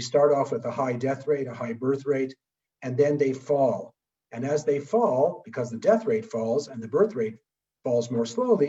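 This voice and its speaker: Lively intonation from a man with a fairly high pitch, a dark, mellow tone and a somewhat breathy quality, at a moderate pace. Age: 70s. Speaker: public health physician presenting at a webinar. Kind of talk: lecture.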